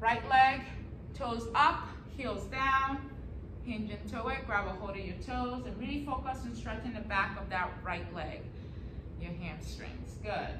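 A woman at a fairly slow pace, long and frequent pauses, big swings in loudness, noticeable background noise. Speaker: fitness instructor. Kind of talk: workout class instruction. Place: gym. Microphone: camera far.

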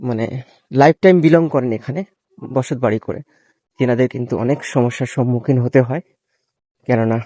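A man speaks at a medium pitch with a dark, mellow tone and ordinary pitch variation, recorded with a dry, close sound and no echo. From Sundarbans, West Bengal. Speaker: travel vlogger. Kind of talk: vlog narration. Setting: outdoors.

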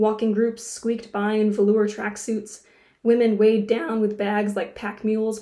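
Natural reading voice

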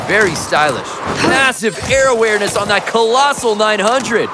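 Against noticeable background noise, a man with a high pitch projects his raised voice at a fairly slow pace, his intonation lively and his tone upbeat. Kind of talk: live sports commentary. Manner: excitable, hyped play-by-play announcer; punchy, upbeat, slangy.

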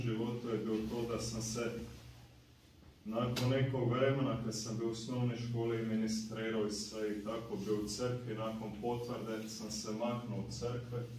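A man speaking at a fairly slow pace with audible room echo and light background noise. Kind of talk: personal testimony. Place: meeting room. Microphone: camera far.

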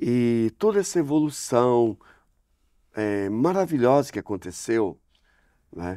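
In a dry sound with no echo, a man with a dark, mellow tone speaks at a very slow pace, with very wide pitch swings and long, frequent pauses. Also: quiet background. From northern Paraná, Brazil. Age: 60s. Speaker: priest. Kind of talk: interview; interview answer. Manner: halting. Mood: warm, thoughtful. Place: hall. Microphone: lapel.

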